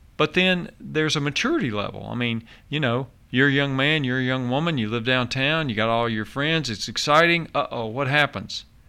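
At a fairly quick pace, a man speaks in a bright, sharp tone at medium pitch with ordinary variation, in a very clean recording with a silent background. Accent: Tennessee. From Nashville, Tennessee. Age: 60s. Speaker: county mayor. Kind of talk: radio interview.

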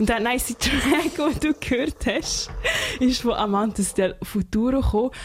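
Over noticeable background noise, a woman with a high pitch speaks at a fairly slow pace with lively intonation, in a Swiss accent. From Switzerland. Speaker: radio host. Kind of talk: radio music show. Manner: animated.

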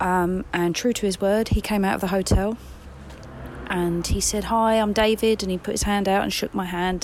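A woman talks at a moderate pace with an English accent. Noticeable background noise runs beneath her. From England.

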